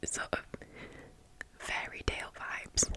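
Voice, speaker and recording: A woman whispers while noticeable background noise carries on. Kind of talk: ASMR whisper ramble, fashion commentary. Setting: close microphone with tapping sounds. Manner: whispered, soft-spoken, close-mic.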